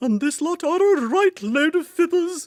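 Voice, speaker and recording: The speaker uses a put-on character voice pitched extremely high. The pace is moderate. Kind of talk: music-hall stage patter. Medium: read story.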